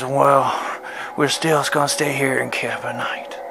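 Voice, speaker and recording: A man's put-on character voice, fairly high and fairly slow, over loud background noise. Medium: solo performance.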